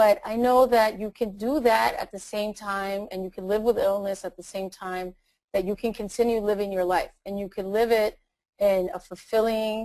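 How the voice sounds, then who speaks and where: Loudness swings widely in this voice with a Latin American accent, though the intonation stays fairly even. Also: woman, quiet background. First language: Spanish. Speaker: attorney and motivational speaker. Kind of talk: interview. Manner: halting, with fillers and repetitions.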